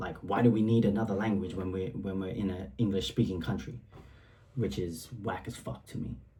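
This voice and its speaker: Fairly low in pitch, a man talks at a fairly quick pace in an animated tone, with audible room echo. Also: ordinary pitch variation. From Singapore, Eurasian upbringing. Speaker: rapper. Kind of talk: casual track commentary. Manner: animated, casual with many fillers.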